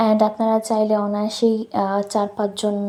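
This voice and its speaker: A woman speaks with a dark, mellow tone at a fairly high pitch. Her intonation stays monotone and flat. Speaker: cooking vlogger. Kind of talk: recipe tutorial voiceover. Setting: home, recorded at night.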